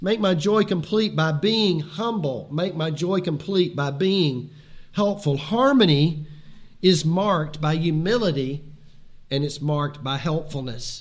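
A man with a fairly high voice talks at a fairly slow pace, with ordinary pitch movement and audible echo in the room. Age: 60s. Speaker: pastor. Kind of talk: sermon.

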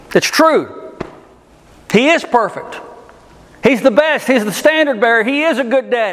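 Amid noticeable background noise and audible room echo, a man with an extremely high pitch and lively intonation talks at a moderate pace with long, frequent pauses. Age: 40s. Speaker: pastor. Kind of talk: sermon.

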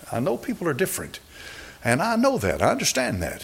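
With noticeable background noise behind him, a man races along very fast as his pitch swings very widely. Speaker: preacher. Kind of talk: sermon. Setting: church.

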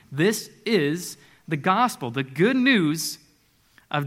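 A man speaks at a very slow pace in a high pitch. His intonation is lively. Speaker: preacher. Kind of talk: sermon. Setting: church. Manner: animated.

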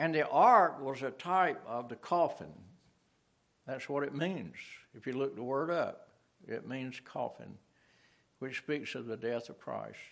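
At a fairly slow pace, a man speaks at a medium pitch with vocal fry, ordinary pitch variation, big swings in loudness, and long, frequent pauses. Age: 70s. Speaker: pastor. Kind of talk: sermon. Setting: church.

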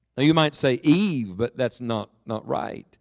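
A man with an American accent talks at a moderate pace, his pitch swinging very widely, in a dry, close sound with no echo. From West Virginia, Beckley. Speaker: guest preacher. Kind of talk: sermon. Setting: church with congregation.

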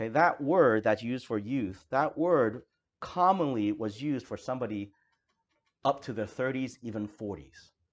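A man with an ordinary speaking voice and medium pitch, lively intonation at a moderate pace. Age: 40s. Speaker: pastor. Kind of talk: sermon.

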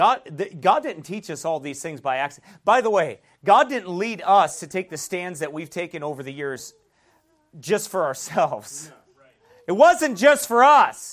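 A man's high-pitched voice at a moderate pace, with big swings in loudness and very wide pitch swings. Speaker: pastor. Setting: church. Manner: earnest and exhorting, with rhetorical questions and chuckles; conversational with frequent fillers and restarts.

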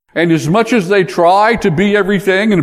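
A man's voice over noticeable background noise. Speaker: pastor. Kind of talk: sermon. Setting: church.

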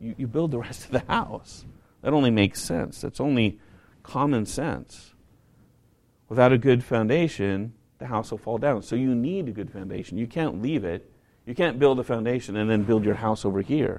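A man with an American accent speaks at a moderate pace and medium pitch. He has an ordinary speaking voice with ordinary pitch variation. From northern US, near Canada. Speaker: pastor. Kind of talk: sermon.

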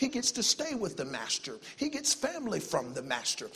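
In a Southern US accent, a man talks in an animated tone with very wide pitch swings. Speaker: visiting preacher. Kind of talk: sermon, preacher in full flow, exhorting a church congregation with call-and-response. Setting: church with congregation. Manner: fast talker, self-aware of speed.

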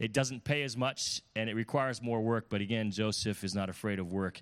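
On a very clean recording with a silent background, a man talks at a fairly quick pace and a fairly low pitch. His is an unremarkable speaking voice with ordinary pitch variation. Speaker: pastor. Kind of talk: sermon introduction. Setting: church.

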